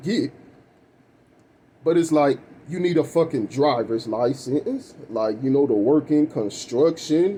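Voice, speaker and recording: This man's voice sits fairly high in pitch, with ordinary pitch variation. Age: 30s. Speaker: vlogger. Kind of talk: personal rant vlog. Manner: casual, profane, rambling delivery.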